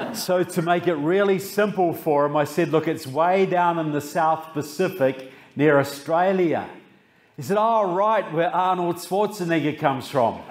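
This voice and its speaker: Amid audible room echo, a man speaks at a high pitch and moderate pace, with ordinary pitch variation and very even loudness. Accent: New Zealand. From New Zealand, Christchurch. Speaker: author and public speaker. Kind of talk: political speech. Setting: stage with audience.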